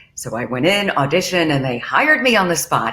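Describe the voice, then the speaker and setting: At a moderate pace, a woman with a very deep, low voice swings her pitch very widely over noticeable background noise. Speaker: TV and radio host. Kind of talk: interview answer.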